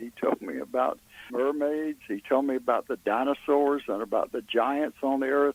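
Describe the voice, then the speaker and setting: Noticeable background noise sits under a dry, close sound with no echo. A man with a fairly high pitch speaks at a moderate pace with fairly even intonation. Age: 80s+. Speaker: author, retired police officer. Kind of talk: interview answer.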